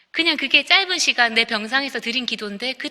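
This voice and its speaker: Her intonation lively and her tone bright and sharp, a woman speaks at a fairly quick pace. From Busan, South Korea. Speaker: composer. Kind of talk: testimony.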